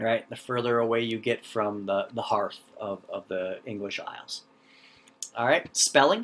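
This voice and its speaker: Over noticeable background noise, a man of medium pitch speaks at a moderate pace with ordinary pitch variation and a slight North Dakota accent. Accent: slight Fargo accent, elongated O's. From US Upper Midwest, North Dakota/Minnesota (North Central, Fargo area). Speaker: teacher. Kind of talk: lecture. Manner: halting, many fillers and repetitions.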